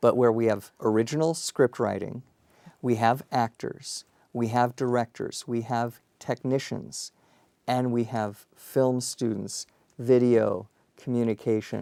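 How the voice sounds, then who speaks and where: Man's dark, mellow voice with a Colorado accent, fairly slow and fairly even in intonation, dry and close with no echo. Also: medium pitch for a man. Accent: Colorado, Rocky Mountain. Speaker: university dean. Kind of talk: interview.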